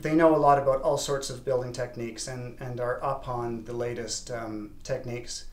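A slightly mellow tone at a moderate pace, with fairly even intonation. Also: man.

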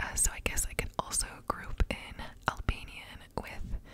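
A soft-spoken woman whispers over light background noise. The sound is dry, with no echo. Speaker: content creator. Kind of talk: soft-spoken ASMR language talk. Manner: soft close-mic ASMR whisper. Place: home room. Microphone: studio mic.

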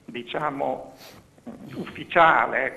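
A man talks very slowly, with noticeable noise in the background. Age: 60s. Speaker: caller. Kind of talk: phone call-in question. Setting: phone call.

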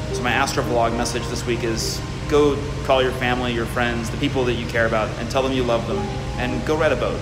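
Over clear music in the background, a man speaks at a very fast pace. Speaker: vlogger. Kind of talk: casual vlog chat. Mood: reflective, warm. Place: boat. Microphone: phone near.

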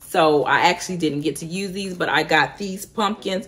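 With an ordinary speaking voice, a woman talks at a moderate pace using fairly even intonation. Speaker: home decor vlogger. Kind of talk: casual vlog chat. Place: home room. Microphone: phone near.

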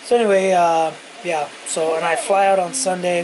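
A man speaks with a high pitch over noticeable background noise. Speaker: vlogger. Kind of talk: casual vlog chat. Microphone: phone near.

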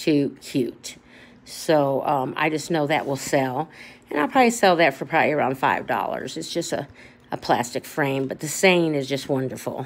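A woman with a very deep, low pitch talks at a moderate pace. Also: ordinary pitch variation. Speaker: thrift reseller. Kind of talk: casual haul vlog chat. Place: home room. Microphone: phone near.

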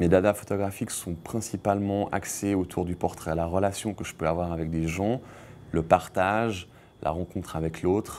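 A man at a fairly low pitch, fairly slow pace and fairly even intonation. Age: 30s. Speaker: photographer. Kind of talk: interview; interview answer. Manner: halting, with frequent repetitions. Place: studio.

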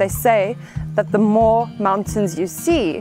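A woman talks at a fairly low pitch and a fairly slow pace. Clear music plays behind her dry sound with no echo. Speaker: travel show host. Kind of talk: travel presenting to camera. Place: open country. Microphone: lapel.

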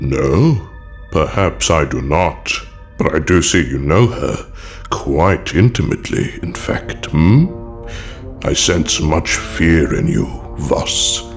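A man's put-on character voice, very deep and low in pitch, at a very slow pace over clear music in the background. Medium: audio drama.

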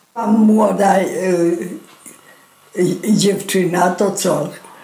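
A woman talks with fairly even intonation, noticeable background noise audible behind her. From southern Poland. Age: 80s+. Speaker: war eyewitness. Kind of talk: oral history testimony.

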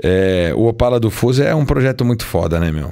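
The background is quiet. A man is speaking. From Brazil. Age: 40s. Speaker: car magazine journalist. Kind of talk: casual chat. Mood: relaxed, storytelling. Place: studio. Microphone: studio mic.

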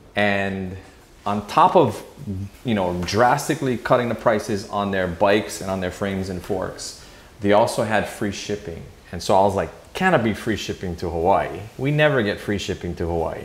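A man with a fairly low pitch talks in a space with audible room echo. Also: ordinary pitch variation, moderate pace. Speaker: channel host. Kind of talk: casual vlog chat. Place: home room.

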